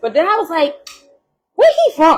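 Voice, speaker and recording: The speaker has a New York accent. The tone is animated. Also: woman. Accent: New York accent, unchanged. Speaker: podcast co-host. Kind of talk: casual chat.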